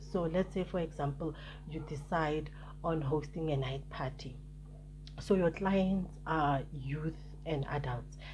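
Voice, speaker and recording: A woman's very deep, low voice with vocal fry, fairly even intonation and audible room echo. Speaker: YouTuber giving business advice. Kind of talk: vlog talk to camera. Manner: hesitant, many fillers.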